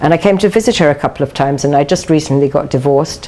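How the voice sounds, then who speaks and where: A woman with a British accent, very deep, low pitch and ordinary pitch variation, at a moderate pace amid noticeable background noise. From London, England. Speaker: TV interview guest, dating columnist. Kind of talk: TV interview.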